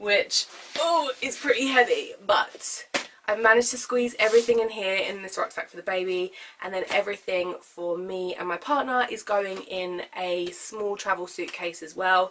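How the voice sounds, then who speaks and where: Woman with a British accent, medium pitch and ordinary pitch variation, moderate pace, big swings in loudness and noticeable background noise. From UK. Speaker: vlogger. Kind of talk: casual vlog talk.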